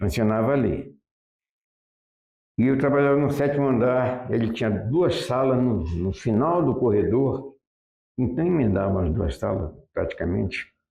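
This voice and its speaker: A man speaks with vocal fry and lively intonation, keeping his loudness very even. He leaves long, frequent pauses. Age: 80s+. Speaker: retired architectural draftsman. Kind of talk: interview answer.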